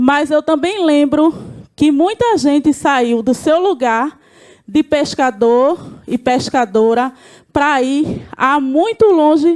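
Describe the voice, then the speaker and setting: High-pitched and lively in intonation, a woman's voice has a dry, close sound with no echo. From Brazil, Recife (Pernambuco). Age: 40s. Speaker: community leader. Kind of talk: panel presentation.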